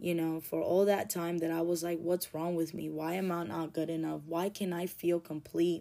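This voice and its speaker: A woman speaks in a fairly low pitch with a dark, mellow tone. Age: 30s. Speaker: podcast host, recovering addict. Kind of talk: personal monologue. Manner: conversational, rambling.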